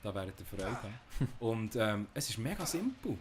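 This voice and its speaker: A medium-pitched man speaks with a Swiss accent over noticeable background noise. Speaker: podcast host. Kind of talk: casual podcast game review discussion.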